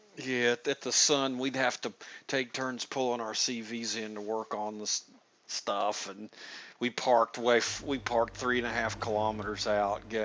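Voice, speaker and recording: With a Southern US accent, a man talks at a moderate pace and with fairly even intonation. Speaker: gaming streamer interviewing builders. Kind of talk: casual chat. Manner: halting, many restarts.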